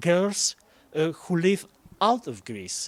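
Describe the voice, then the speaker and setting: In a dry, close sound with no echo, a man with a fairly high pitch speaks at a very slow pace. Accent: Polish. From Poland. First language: Polish. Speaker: Eurovision journalist. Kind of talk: casual talk show chat. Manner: halting.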